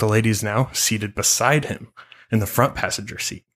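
Someone reads the text aloud in a natural voice.

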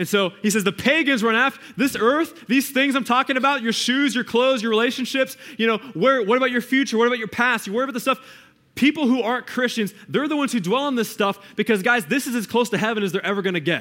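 Using a raised, projected voice, a man speaks very fast at an extremely high pitch, his tone animated, bright and sharp, with ordinary pitch variation. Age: 20s. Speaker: youth pastor. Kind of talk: sermon. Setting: stage with audience.

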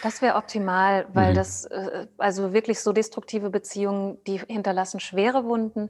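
This woman has a medium pitch and delivers her words in a monotone, flat intonation. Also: moderate pace. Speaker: trauma therapist. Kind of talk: interview.

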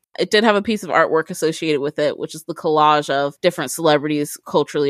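A woman with a Midwestern US accent talks at a very fast pace in a very deep, low voice with ordinary pitch variation. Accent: US Midwest. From Ohio, Columbus. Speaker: author. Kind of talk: interview.

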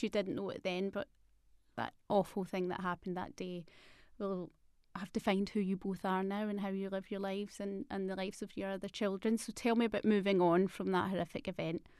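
In a Scottish accent, a woman talks at a fairly quick pace with a warm, enthusiastic tone. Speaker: podcast host. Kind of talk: casual interview chat.

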